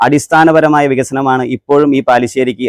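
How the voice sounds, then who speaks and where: Heard in a dry, close sound with no echo, a man has a normal speaking voice at a medium pitch with fairly even intonation. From Kerala, Ernakulam district (Angamaly area). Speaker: local election candidate. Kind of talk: campaign speech. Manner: formal.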